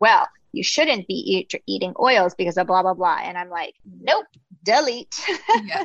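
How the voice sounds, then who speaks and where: Recorded dry and close with no echo, a woman with an unremarkable speaking voice talks at a fairly quick pace in a medium pitch. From US, Greek immigrant family. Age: 40s. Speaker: podcast host and health coach. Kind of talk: casual interview chat.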